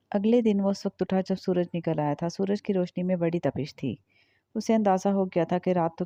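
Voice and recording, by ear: Against a hushed background comes reading aloud in a natural voice.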